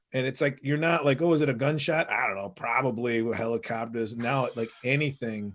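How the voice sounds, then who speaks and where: An unremarkable speaking voice from a man at medium pitch, fairly quick pace with hardly any pauses, and ordinary pitch variation. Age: 40s. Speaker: comedian and podcast co-host. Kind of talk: casual chat.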